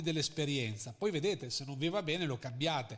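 Lively intonation and a moderate pace mark this man's speech on a very clean recording with a silent background. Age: 40s. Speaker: marketing consultant. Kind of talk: interview. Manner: halting.

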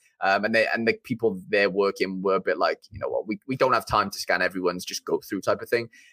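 This man's delivery is very fast. Pauses are hardly present at all. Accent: Welsh. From Wales. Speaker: YouTuber and streamer. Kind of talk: casual chat.

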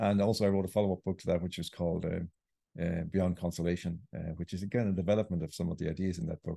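A man with an Irish accent talks at a very fast pace, his voice very deep and low with a dark, mellow tone and fairly even intonation. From Ireland. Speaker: writer. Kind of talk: interview.

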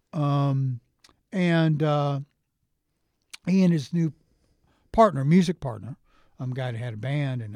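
A man talks at a moderate pace with a medium pitch and ordinary pitch variation. His tone is dark and mellow, and somewhat breathy. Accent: American. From United States. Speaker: actor. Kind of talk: casual chat.

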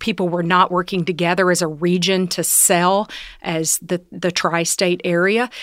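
A woman with a fairly low pitch and a Southern US accent at a moderate pace, in a very clean recording with a silent background and a dry, close sound with no echo. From Tennessee, US South. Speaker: executive and leadership coach. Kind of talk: casual interview conversation.

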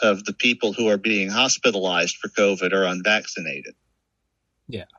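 This is a man speaking with an American accent. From New Orleans, Louisiana. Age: 50s. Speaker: author. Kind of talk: casual chat.

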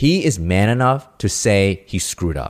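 A man with a plain, everyday voice, an American accent, fairly low pitch and lively intonation, on a very clean recording with a silent background. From New York City. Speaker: doctor. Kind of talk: casual chat.

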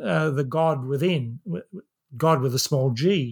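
With an Australian accent, a man speaks very slowly at a fairly high pitch, the sound dry and close with no echo. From Australia, central west New South Wales. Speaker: systems professor, author. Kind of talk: interview. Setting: remote call.

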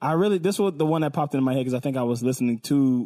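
Speaking with an American accent, a man with a medium pitch and a dark, mellow tone talks very fast with lively intonation. The recording is very clean with a silent background and a dry, close sound with no echo. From US West Coast, Los Angeles area. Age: 30s. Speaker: music podcast panelist. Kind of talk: casual chat.

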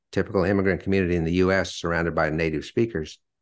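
A man talks very fast in a very deep, low voice with ordinary pitch variation. The background is quiet. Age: 60s. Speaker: author and retired sales executive. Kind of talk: interview.

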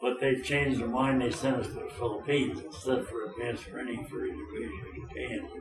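With hardly any pauses, a man speaks at a very fast pace. Room echo is audible, along with noticeable background noise. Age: 90s. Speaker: war veteran. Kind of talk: interview. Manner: halting.

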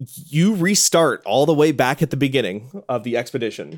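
The man has an unremarkable speaking voice, fairly high in pitch. His intonation is lively, and his pace is moderate. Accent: American. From US Midwest. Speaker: games media editor. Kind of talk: casual chat.

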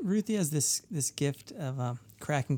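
Recorded very cleanly against a silent background, a man's dark, mellow tone comes through dry and close with no echo. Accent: American. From New Hampshire, US. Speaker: musician, songwriter. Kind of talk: casual interview chat. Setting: touring, interview at a festival.

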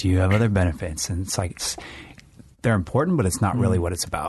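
A man with a very deep, low, somewhat breathy voice speaks at a very fast pace. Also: ordinary pitch variation. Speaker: podcast co-host.

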